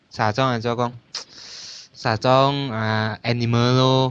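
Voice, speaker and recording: His intonation monotone and flat, a man speaks at a medium pitch. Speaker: podcast guest. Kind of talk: casual chat.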